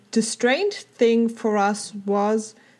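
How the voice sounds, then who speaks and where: The voice has a German accent, a dark, mellow tone and monotone, flat intonation. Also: woman. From Germany. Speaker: theme park enthusiast, former theme park worker. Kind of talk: casual chat. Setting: call.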